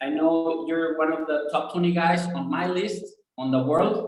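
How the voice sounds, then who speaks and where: The words come at a moderate pace. They carry a Spanish accent. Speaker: fitness podcast host, nutritionist. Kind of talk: interview. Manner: halting.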